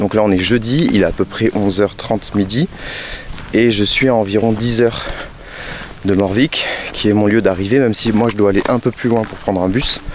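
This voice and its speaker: Speaking at a moderate pace with long, frequent pauses, a man with a fairly low pitch keeps his loudness very even over noticeable background noise. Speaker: hiker vlogger. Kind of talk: vlog to camera. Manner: halting.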